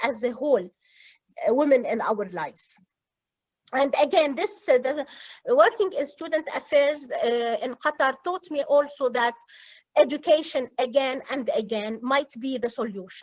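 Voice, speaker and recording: Against a quiet background, a woman with an Arabic accent speaks at a high pitch with lively intonation. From Lebanon. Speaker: university student affairs administrator. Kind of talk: interview. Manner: halting.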